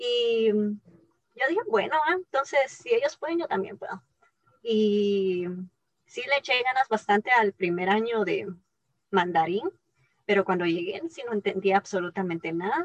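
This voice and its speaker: The sound is dry and close, with no echo, as a woman speaks at a fairly slow pace. Her pitch is fairly high and her intonation lively. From Guatemala. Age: 20s. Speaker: scientist. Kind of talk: interview.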